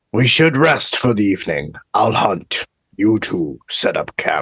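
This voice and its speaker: Using a put-on character voice, a man speaks raspily at medium pitch and a fairly slow pace, with very wide pitch swings, in a dry, close recording with no echo. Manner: menacing.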